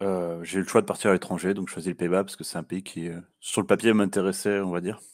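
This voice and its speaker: A man's very deep, low voice at a very fast pace, monotone and flat, with big swings in loudness, on a very clean recording with a silent background. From southern France. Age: 20s. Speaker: interview guest, former expat. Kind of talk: interview. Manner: hesitant.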